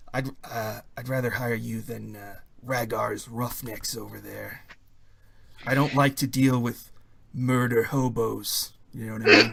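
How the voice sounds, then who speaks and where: A raspy, put-on character voice carries this clip. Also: man, medium pitch for a man, fairly slow pace. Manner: whispering.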